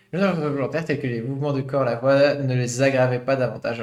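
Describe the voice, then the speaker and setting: A man speaks at medium pitch with fairly even intonation. Noticeable background noise runs behind him. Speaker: VTuber streamer. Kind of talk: live stream reading and commenting on a scientific study. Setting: live stream. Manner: hesitant, many filler sounds.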